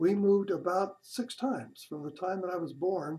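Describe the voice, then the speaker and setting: A man with a West Coast accent speaks in a dark, mellow tone. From California, San Diego. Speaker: grandfather telling his life story. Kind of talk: personal memoir narration. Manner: halting, with hesitations.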